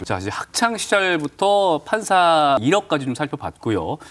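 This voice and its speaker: The pace is moderate. A man's pitch swings very widely throughout. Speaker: TV news show host. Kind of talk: TV studio presenting. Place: studio.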